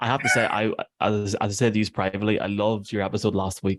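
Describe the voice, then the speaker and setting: A man speaks in an Irish accent at a fairly low pitch. The sound is dry and close with no echo, against a quiet background. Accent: Irish brogue. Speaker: podcast producer. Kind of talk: casual chat.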